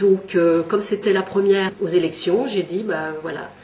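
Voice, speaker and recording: A woman's fairly low-pitched voice at a fairly slow pace, over noticeable background noise. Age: 50s. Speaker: local election candidate. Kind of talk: candidate testimony. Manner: hesitant, many fillers.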